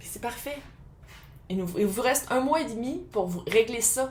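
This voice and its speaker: A woman in a Quebec accent, high-pitched, with ordinary pitch variation and a fairly slow pace. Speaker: tarot reader. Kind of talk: tarot reading. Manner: casual, conversational.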